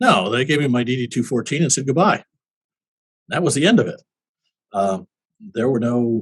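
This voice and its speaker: A man with an American accent sounds somewhat breathy and leaves long, frequent pauses. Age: 70s. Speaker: war veteran. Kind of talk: interview. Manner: halting.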